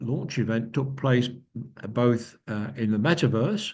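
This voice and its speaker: Somewhat breathy speech with ordinary pitch variation and audible room echo. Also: man. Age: 70s. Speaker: company founder and speaker. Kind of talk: lecture. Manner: halting.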